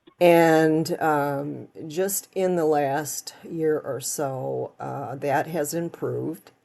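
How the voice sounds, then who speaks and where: Very slowly and with hardly any pauses, a woman with a very deep, low pitch speaks in a relaxed, dark, mellow tone, her intonation fairly even. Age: 70s. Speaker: YouTuber narrating her yard work. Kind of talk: casual vlog narration. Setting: outdoors in her yard, recorded on security cameras. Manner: relaxed, with many fillers.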